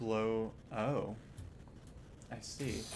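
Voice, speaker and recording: The man's medium-pitched voice carries audible room echo. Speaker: vtuber streamer. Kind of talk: casual gaming livestream. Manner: quiet, not loud. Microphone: old microphone, stream audio too quiet.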